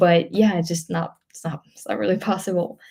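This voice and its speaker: Somewhat breathy, a woman speaks in a fairly low voice with a dark, mellow tone. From France. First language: French. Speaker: travel vlogger. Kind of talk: live stream Q&A. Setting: live stream. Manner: hesitant, many fillers.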